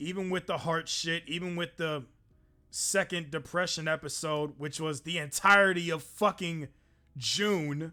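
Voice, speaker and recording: Loud and fairly slow, a man speaks in a high pitch with a bright, sharp tone and fairly even intonation. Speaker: streamer. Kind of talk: casual chat. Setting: live stream.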